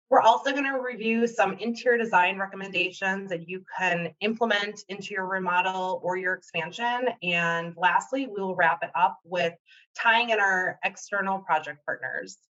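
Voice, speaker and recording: A woman with a Wisconsin accent speaks at a moderate pace. Her tone is bright and sharp, with ordinary pitch variation. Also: medium pitch for a woman. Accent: Wisconsin accent, noticeable. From Wisconsin, US Upper Midwest. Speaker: interior designer. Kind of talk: webinar presentation. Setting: online webinar.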